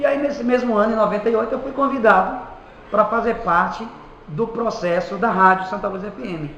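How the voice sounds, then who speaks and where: A man speaks at a fairly quick pace in a high pitch, with ordinary pitch variation. Noticeable background noise and audible room echo surround his voice. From Bahia, Brazil (Quijingue). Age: 30s. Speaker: community radio director and announcer. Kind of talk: interview.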